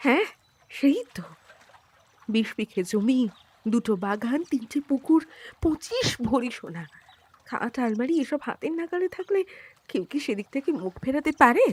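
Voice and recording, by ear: A woman does a put-on character voice at a high pitch, with big pitch swings and a slightly husky edge. The sound is dry and close, with no echo. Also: fairly slow pace.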